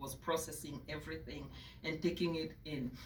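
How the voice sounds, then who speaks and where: A woman with a non-native accent and vocal fry speaks at a moderate pace in a room with audible echo. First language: not English. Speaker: librarian giving memorial remarks. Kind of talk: memorial speech. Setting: reception with audience.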